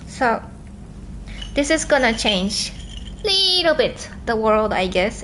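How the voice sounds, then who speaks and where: Noticeable background noise and audible room echo surround this recording. A woman talks at a fairly slow pace with a fairly high pitch. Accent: Japanese. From southern Japan. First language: Japanese. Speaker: livestreamer. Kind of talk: livestream chat.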